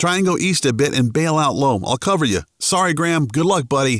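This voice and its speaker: A man puts on a character voice, strained and anxious in tone, at a fairly high pitch. He goes at a fairly quick pace with very even loudness. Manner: strained, anxious.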